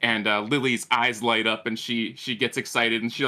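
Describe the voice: Simple, plain reading aloud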